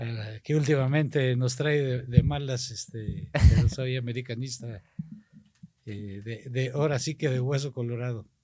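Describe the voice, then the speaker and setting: The speaker is a man with an unremarkable speaking voice of medium pitch. His pace is fairly slow and his intonation fairly even. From Mexico, Tampico, Tamaulipas. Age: 60s. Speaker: politician. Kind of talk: casual interview chat.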